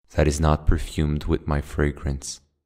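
A soft-spoken man talks with a very deep, low voice. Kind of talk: poetry reading. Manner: soft-spoken, quiet.

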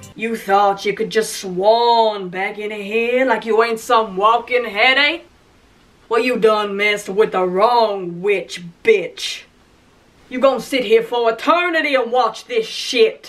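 A put-on character voice, fairly high in pitch and fairly slow. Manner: sassy, threatening.

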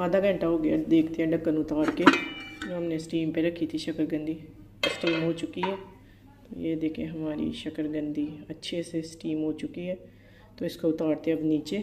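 The pace is fairly slow. Loud background noise runs underneath. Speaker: home cook vlogger. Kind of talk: casual vlog chat. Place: kitchen. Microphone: phone near.

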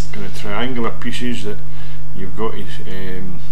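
There is noticeable background noise while a man delivers his words at a moderate speed. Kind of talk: tutorial. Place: home room. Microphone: webcam.

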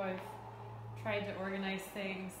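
A woman's voice comes through with audible room echo and noticeable background noise. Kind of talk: casual vlog chat. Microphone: phone near.

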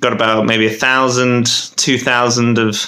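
A man speaks with fairly even intonation. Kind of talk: casual vlog chat. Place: office. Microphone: phone near.

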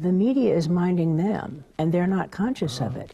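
A woman with an American accent speaks in a dark, mellow tone at a fairly low pitch, her intonation lively and her voice somewhat breathy. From Southern California. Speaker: media educator. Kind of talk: interview. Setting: TV studio. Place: studio. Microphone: lapel.

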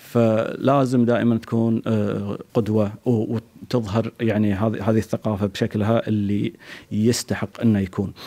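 With a Kuwaiti accent, a man speaks fairly slowly in a dark, mellow tone, his intonation monotone and flat and his loudness very even. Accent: Kuwaiti Gulf Arabic. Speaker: poet. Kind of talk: interview. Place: home room. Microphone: handheld.

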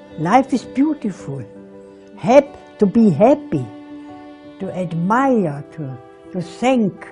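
A woman's very slow speech with long, frequent pauses and very wide pitch swings, faint music in the background. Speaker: interviewee. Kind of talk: interview answer. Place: home room. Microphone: lapel.

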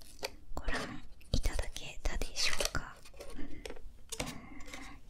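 A woman whispers. She speaks at a very slow pace. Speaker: video creator. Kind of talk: casual vlog chat. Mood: cheerful, relaxed. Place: home room.

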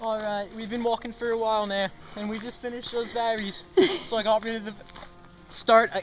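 A man speaks in a high pitch with monotone, flat intonation over light background noise. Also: fairly quick pace. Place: forest.

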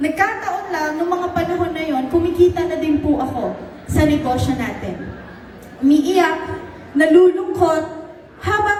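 With an extremely high pitch and ordinary pitch variation, a woman speaks at a fairly slow pace. Noticeable background noise and audible room echo are present. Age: 30s. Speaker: business mentor. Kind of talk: motivational talk.

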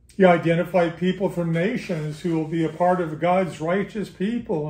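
This man has a high voice and talks at a fairly slow pace. Audible room echo surrounds his speech. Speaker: bible study teacher. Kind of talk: lecture. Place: home room. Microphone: camera far.

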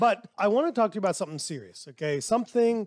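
A man talks fairly quickly with lively intonation. The sound is dry with no echo, and the background is quiet. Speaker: podcast host. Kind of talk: podcast monologue. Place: studio. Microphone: headset.

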